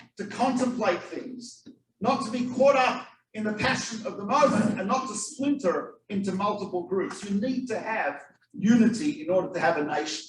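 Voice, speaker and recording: A man with an Australian accent talks at a high pitch in an animated tone with ordinary pitch variation. Audible room echo surrounds his voice. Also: moderate pace. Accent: foreign accent (Australian). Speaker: rabbi, guest lecturer. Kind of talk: lecture to a live audience. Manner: animated storytelling.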